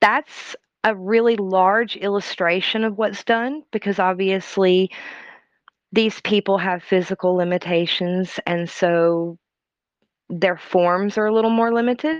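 A woman with a normal speaking voice talks at a fairly slow pace and medium pitch, with ordinary pitch variation. The sound is dry and close with no echo, over a quiet background. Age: 30s. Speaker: mother and marketing business owner. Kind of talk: casual interview chat.

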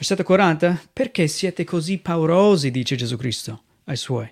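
A man with an American accent at a fairly high pitch and moderate pace, lively intonation, on a very clean recording with a silent background. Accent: American accent in Italian. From United States. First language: English (speaking Italian). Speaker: missionary pastor. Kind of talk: sermon. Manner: halting.

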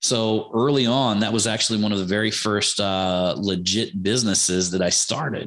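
Speaking with an American accent, a man uses an unremarkable speaking voice, fairly low in pitch, at a moderate pace with fairly even intonation and hardly any pauses. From US Midwest, Ohio. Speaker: marketing entrepreneur. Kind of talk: casual interview.

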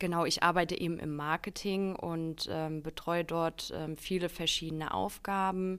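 In a normal speaking voice, the speaker goes at a moderate pace with fairly even intonation on a very clean recording with a silent background. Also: woman. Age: 20s. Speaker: marketing employee. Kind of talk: casual interview.

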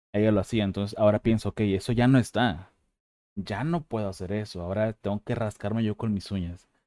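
At a fairly low pitch, a man talks at a fairly quick pace with a dark, mellow tone and fairly even intonation, in a dry, close sound with no echo. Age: 30s. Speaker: podcast host. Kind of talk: casual interview chat. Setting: video call.

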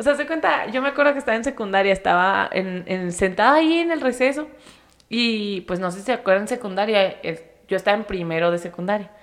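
Speaking at a very fast pace, a woman with a medium pitch uses lively intonation. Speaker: podcast host. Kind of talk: casual chat. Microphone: close to the microphone.

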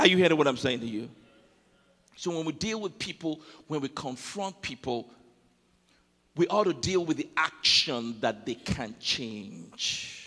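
A man with a strong Nigerian accent, fairly high pitch and lively intonation, speaking at a fairly slow pace with long, frequent pauses. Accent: Nigerian accent, thick. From Nigeria (Yoruba, Ijebu). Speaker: pastor. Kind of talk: sermon. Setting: church with congregation. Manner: animated.

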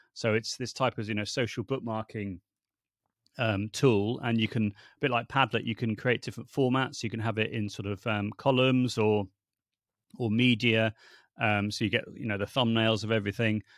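Recorded very cleanly against a silent background, a man with a British accent speaks at a moderate pace and medium pitch, the sound dry and close with no echo. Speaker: language teaching technology consultant. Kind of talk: casual interview chat. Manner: animated, passionate.

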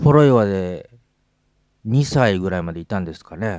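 A very clean recording with a silent background carries this man's speech. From Hokkaido, Japan. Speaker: podcast host, musician. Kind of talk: casual chat. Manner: animated.

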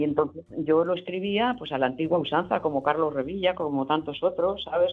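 The voice belongs to a woman with a very deep, low pitch. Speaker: voice actress and dubbing teacher. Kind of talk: interview. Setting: remote connection.

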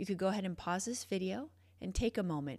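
This is an ordinary speaking voice, a woman at medium pitch with lively intonation. The recording is very clean, with a silent background. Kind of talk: guided meditation. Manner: warm, encouraging, reassuring.

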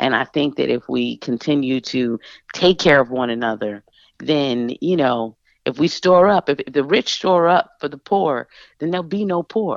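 A woman with a Philadelphia accent speaks at a moderate pace with a very deep, low pitch and lively intonation. The sound is dry and close with no echo, over a quiet background. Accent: Philadelphia-area American English. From suburbs of Philadelphia. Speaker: singer-songwriter and radio host. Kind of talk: casual interview.

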